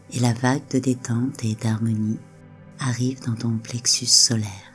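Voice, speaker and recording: A woman's very deep, low voice, very slow and monotone, with flat intonation and music in the background. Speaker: relaxation and hypnosis guide. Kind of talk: hypnotic relaxation guide. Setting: over background music. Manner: soft, slow, calming.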